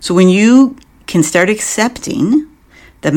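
The intonation of this woman's speech is lively. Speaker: therapist podcast host. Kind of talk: solo educational talk. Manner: gentle, warm.

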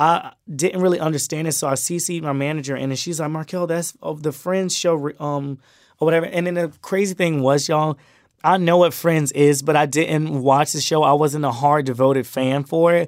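In an American accent and an unremarkable speaking voice, a man talks at a fairly high pitch and moderate pace with fairly even intonation. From Miami, Florida and Brunswick, Georgia. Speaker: social media creator. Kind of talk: casual chat.

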